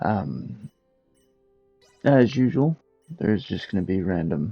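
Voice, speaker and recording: A man with a fairly low pitch speaks at a very slow pace. Music plays in the background. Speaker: game reviewer. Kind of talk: video game review narration.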